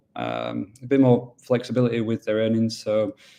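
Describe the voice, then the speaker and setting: A man with a Yorkshire accent speaks in a dark, mellow tone at medium pitch. His delivery is monotone and flat at a moderate pace. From Yorkshire, northern England. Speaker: business development manager at a mining pool. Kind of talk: webinar presentation. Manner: casual, with many fillers.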